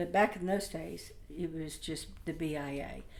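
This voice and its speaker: Fairly slow delivery with fairly even intonation and audible room echo. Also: woman. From Oklahoma, US. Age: 60s. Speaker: community advisory committee member. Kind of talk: personal testimony. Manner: halting, many fillers.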